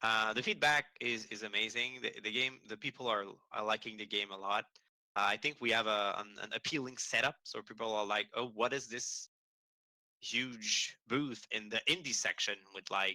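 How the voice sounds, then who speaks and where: A man with a French accent speaks at a moderate pace and medium pitch, his tone bright and sharp. The sound is dry and close with no echo, and his intonation stays fairly even. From Quebec. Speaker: game studio communications manager. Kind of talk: interview. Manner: halting with repetitions.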